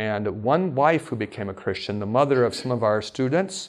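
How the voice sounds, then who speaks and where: With an American accent and a normal speaking voice, a man talks at a moderate pace, at medium pitch, with lively intonation. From Alaska. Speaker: preacher. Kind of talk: sermon. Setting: stage with audience.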